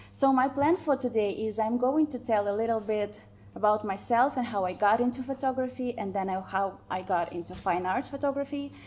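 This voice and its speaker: With a Russian accent, a woman speaks. Her pitch varies in an ordinary way. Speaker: photographer. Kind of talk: presentation. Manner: slow; hesitant, with fillers.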